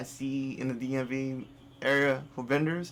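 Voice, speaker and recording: Speaking at a fairly slow pace, a man has a medium pitch and a bright, sharp tone. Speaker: vlogger and convention vendor. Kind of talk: casual vlog chat. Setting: home livestream. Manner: soft-spoken, does not yell.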